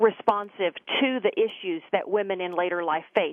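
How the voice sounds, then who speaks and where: A woman with a Texas accent, medium in pitch, at a moderate pace with lively intonation. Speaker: government official, former prosecutor. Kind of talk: interview.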